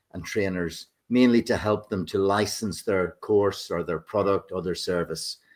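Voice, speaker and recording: A man in a Northern Irish accent speaks at a moderate pace, his fairly low voice holding a fairly even intonation. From Northern Ireland. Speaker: business consultant. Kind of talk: self-introduction. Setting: video call.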